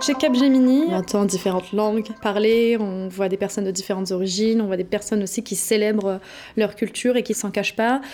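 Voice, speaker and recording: Against noticeable background noise, a woman speaks at a fairly quick pace, her pitch fairly high and her intonation fairly even. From France, Paris. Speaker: innovation consultant. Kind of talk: interview. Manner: hesitant, some repetitions.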